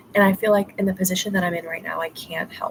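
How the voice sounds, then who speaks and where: Noticeable background noise accompanies a woman whose medium-pitched voice keeps a fairly even intonation. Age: 20s. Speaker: vlogger. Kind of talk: casual chat. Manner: casual, halting.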